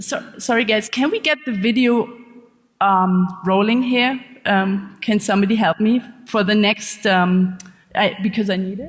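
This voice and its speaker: A woman with a German accent speaks at a fairly slow pace and a medium pitch. Her voice is somewhat breathy, with ordinary pitch variation. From Germany. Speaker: investigative journalist. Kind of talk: conference talk. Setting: stage with audience.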